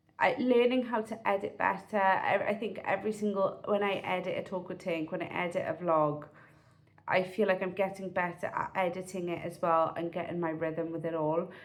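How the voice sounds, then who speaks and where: With a South Wales accent, a woman speaks at a moderate pace and medium pitch, with ordinary pitch variation. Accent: South Wales Valleys English. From South Wales, Pontypridd (Rhondda Cynon Taf). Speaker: vlogger. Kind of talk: casual vlog monologue. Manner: chatty, halting with fillers and restarts.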